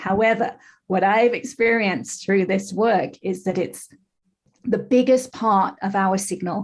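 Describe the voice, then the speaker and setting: Somewhat breathy, the voice moves at a fairly slow pace with a slight English accent. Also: woman. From England. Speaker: life coach. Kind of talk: podcast interview.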